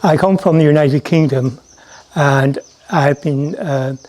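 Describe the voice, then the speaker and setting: This is a man speaking. He has an Irish accent. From Ireland. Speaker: narrator and ashram visitor. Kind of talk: casual testimony; scripted narration. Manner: mumbling at times; halting, with fillers.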